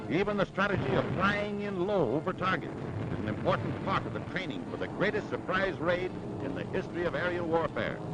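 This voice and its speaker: A man's high voice, with ordinary pitch variation, comes fairly quickly through noticeable background noise. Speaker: newsreel commentator. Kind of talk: wartime newsreel narration. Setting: vintage 1940s recording. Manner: dramatic, rousing.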